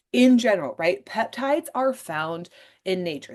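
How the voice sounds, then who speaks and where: With an animated tone and lively intonation, a woman speaks at a moderate pace against a quiet background. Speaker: podcast host selling wellness products. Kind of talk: casual solo podcast explainer.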